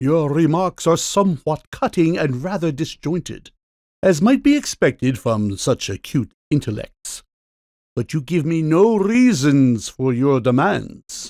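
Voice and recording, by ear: A man performs a put-on character voice, fairly high for a man, with big pitch swings and a slightly mellow tone at a slow pace. The recording is very clean, with a silent background.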